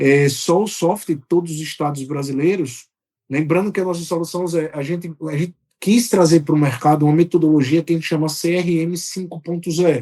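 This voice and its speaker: A man's high, dark and mellow voice in a Sergipe accent, fairly quick in pace and fairly even in intonation. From Brazil, Aracaju, Sergipe (Northeast). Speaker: software company executive. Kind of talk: podcast interview.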